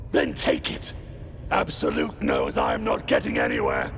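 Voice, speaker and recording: A man puts on a character voice at a moderate speed, with clear noise in the background. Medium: game stream. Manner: gruff, rough, short-tempered.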